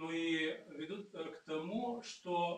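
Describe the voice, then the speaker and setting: A man speaks in a high voice with a Bulgarian accent. There is noticeable background noise. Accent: Bulgarian accent in Russian. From Bulgaria, Sofia. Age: 60s. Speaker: neurologist and network marketer. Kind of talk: video testimonial pitch.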